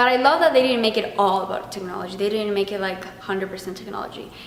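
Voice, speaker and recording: In an Argentine accent, a woman speaks very fast at medium pitch with ordinary pitch variation, over audible room echo and noticeable background noise. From Argentina. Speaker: theater vlogger. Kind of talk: casual review monologue. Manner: animated.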